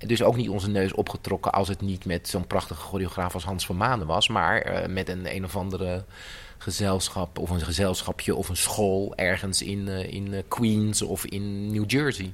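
Fairly low pitch and fairly even intonation in a man's voice, an ordinary speaking voice. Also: moderate pace. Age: 50s. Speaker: choreographer. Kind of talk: interview.

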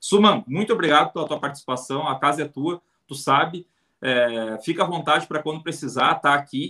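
A man talks at a fairly quick pace in a fairly high pitch with ordinary pitch variation, a plain, everyday voice. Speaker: football fan podcast host. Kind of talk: casual live-stream chat.

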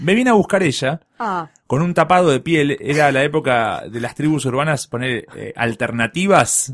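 An ordinary speaking voice from a man, fairly high in pitch, with lively intonation and a moderate pace. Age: 30s. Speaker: podcast guest. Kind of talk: casual chat.

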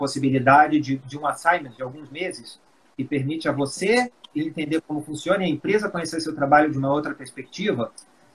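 Over noticeable background noise, a man speaks very fast at a fairly high pitch with ordinary pitch variation. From Brazil, Rio de Janeiro, raised in Espírito Santo. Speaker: pharmaceutical executive. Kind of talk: interview. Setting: live stream video call.

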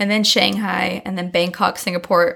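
A Californian accent at a moderate pace. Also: woman. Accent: Californian American. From San Diego, California. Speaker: community manager. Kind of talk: interview.

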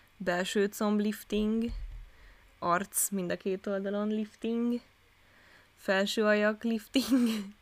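This woman's fairly high voice moves at a very slow pace with long, frequent pauses. Her intonation stays monotone and flat. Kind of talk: casual chat. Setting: new recording location.

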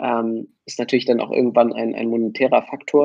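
A man speaks in a plain, everyday voice at medium pitch and a moderate pace. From Hamburg, northern Germany. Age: 20s. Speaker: music producer and DJ. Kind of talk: casual chat.

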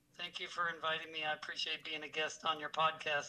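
Over music in the background, a man with an American accent speaks in a high voice. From US Michigan and California. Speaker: auto detailing trainer. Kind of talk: casual interview chat.

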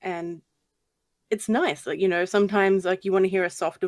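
Fairly quick, fairly evenly intoned speech from a woman at medium pitch. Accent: Australian. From Australia. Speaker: YouTube horror narrator. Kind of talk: casual chat. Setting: video call.

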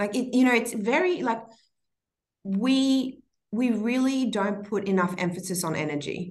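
A woman speaks at a moderate pace in a fairly high, somewhat breathy voice. Her intonation is lively. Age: 30s. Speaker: entrepreneur and mother. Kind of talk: casual interview.

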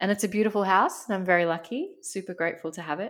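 A woman with an Australian accent and fairly even intonation, in a very clean recording over a silent background. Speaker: podcast co-host, life coach. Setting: home recording. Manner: conversational, candid.

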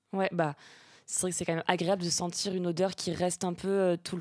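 A woman speaks in a fairly low pitch with a dark, mellow tone, recorded very cleanly against a silent background. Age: 20s. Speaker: political communications adviser. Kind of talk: casual chat.

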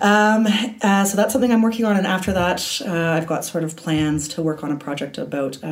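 Fairly quick speech from a woman with a Canadian accent, medium pitch, lively intonation and hardly any pauses, over noticeable background noise. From Canada, Toronto. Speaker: film studies lecturer. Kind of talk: casual interview.

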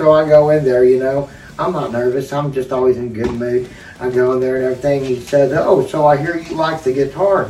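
Amid noticeable background noise, a man talks fairly quickly at medium pitch with fairly even intonation. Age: 50s. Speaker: guitarist. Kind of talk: casual chat.

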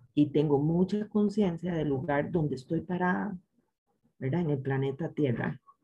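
A woman speaks at a moderate pace in a very deep, low pitch with ordinary variation. Her tone is dark and mellow, and somewhat breathy. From Costa Rica, San José. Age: 50s. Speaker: chemistry professor and researcher. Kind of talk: interview.

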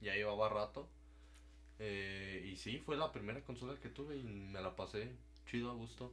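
A man speaks at a fairly slow pace with a fairly low pitch. His pitch swings very widely. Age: young. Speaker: podcast guest, former schoolmate. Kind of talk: casual chat.

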